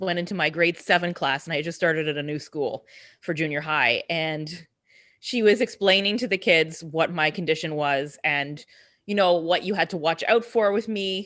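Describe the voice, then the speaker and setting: A loud woman speaks at a moderate pace with a fairly low pitch and ordinary pitch variation. Her tone is bright and sharp, and the background is quiet. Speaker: podcast host. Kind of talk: casual chat.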